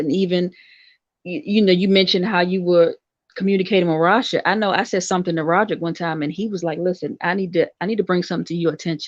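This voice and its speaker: Over a quiet background, a woman with an American accent speaks at a very fast pace in a medium pitch with fairly even intonation. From US, Washington DC. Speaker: guest co-host, host's sister. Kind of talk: casual podcast discussion.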